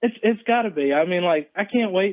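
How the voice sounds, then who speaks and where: An ordinary speaking voice with an American accent moves at a moderate pace with ordinary pitch variation. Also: man. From central North Carolina. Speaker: caller. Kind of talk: casual chat.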